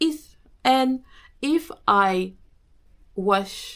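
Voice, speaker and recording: A woman's medium-pitched voice with a French accent. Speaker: business coach and podcaster. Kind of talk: casual talk to camera.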